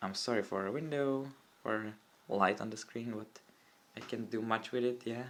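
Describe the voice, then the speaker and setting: A man with a Czech accent speaks at medium pitch and a moderate pace. His intonation stays fairly even, broken by long, frequent pauses. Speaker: tech YouTuber. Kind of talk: tutorial. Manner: halting.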